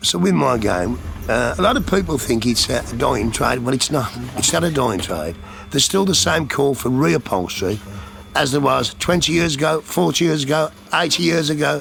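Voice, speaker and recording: The speech moves at a moderate pace with very wide pitch swings and very even loudness. Noticeable background noise runs underneath. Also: man, medium pitch for a man. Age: 60s. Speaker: upholsterer. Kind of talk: interview testimony. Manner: casual, conversational.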